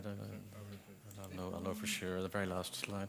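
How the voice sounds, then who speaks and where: Through audible room echo, a man speaks with monotone, flat intonation at a fairly low pitch. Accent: Belfast. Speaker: architect. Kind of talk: memorial conference talk.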